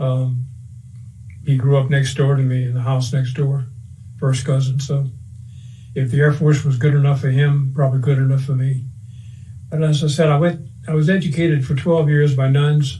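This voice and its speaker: In a Cajun accent, a man talks at a moderate pace with long, frequent pauses, his fairly high voice monotone and flat at a very even loudness. Noticeable background noise and audible room echo fill the recording. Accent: Cajun Louisiana English. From US South, Cajun Louisiana (Breaux Bridge). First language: French. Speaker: war veteran. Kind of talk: oral history interview.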